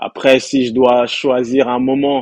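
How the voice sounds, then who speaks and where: At a very slow pace, a man speaks. His pitch is medium. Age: 30s. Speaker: football fan. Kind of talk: casual chat.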